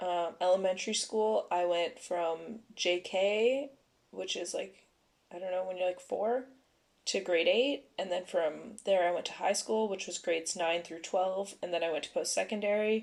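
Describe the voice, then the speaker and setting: In a Canadian accent, a woman with a normal speaking voice talks at a moderate pace and medium pitch. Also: ordinary pitch variation. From Canada, Ontario (Vaughan). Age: 20s. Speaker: podcast co-host. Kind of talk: casual chat.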